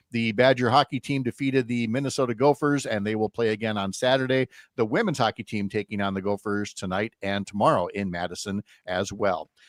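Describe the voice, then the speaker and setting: A man with an Upper Midwest accent talks at a fairly quick pace on a very clean recording with a silent background and a dry, close sound with no echo. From Wisconsin. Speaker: radio host. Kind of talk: radio talk show; sports news reading.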